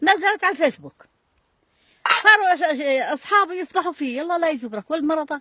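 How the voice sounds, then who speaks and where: A woman with an extremely high voice projects it loudly at a moderate pace, her intonation lively. The sound is dry and close, with no echo. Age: 70s. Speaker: elderly woman interviewee. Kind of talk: casual chat, storytelling.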